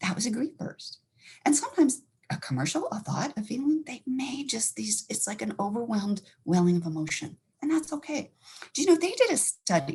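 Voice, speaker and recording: Speaking fairly quickly with an American accent, a woman uses a fairly high pitch, very wide pitch swings, vocal fry and an animated tone. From Montana. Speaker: counselor. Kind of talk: educational talk.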